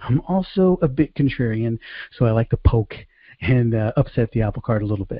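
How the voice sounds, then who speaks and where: The man's voice is somewhat breathy. His intonation is lively. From Bronx, New York City, Puerto Rican heritage. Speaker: sales coach. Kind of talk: online training presentation. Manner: fast; high energy.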